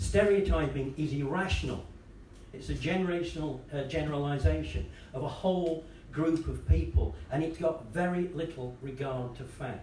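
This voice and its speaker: Speaking at a moderate pace, a man with a fairly high-pitched voice is heard over noticeable background noise and audible room echo. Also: ordinary pitch variation. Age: 70s. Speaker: panel speaker. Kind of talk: conference talk.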